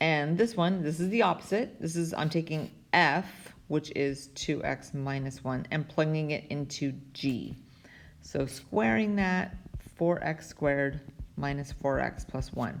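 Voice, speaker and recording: Very deep and low in pitch, a woman talks at a fairly slow pace with ordinary pitch variation. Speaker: math teacher. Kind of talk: tutorial. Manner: casual with frequent fillers.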